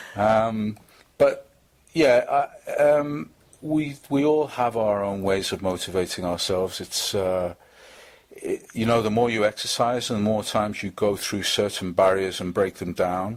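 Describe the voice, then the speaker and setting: Ordinary pitch variation and a fairly slow pace, with a strong Liverpool accent. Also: man, fairly low pitch for a man. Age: 50s. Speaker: charity fitness fundraiser. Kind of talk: interview. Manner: halting, many fillers and repetitions.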